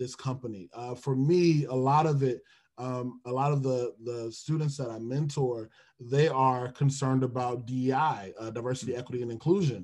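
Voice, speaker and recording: This man has an ordinary speaking voice with an American accent. He talks at a moderate pace with fairly even intonation. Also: medium pitch for a man. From Detroit, US Midwest. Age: 20s. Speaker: HR recruiter and music minister. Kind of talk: podcast interview.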